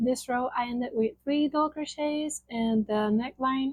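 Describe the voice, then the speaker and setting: Moderate pace from a woman with a Spanish accent, high in pitch with ordinary pitch variation. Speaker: crochet content creator. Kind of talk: tutorial; casual chat.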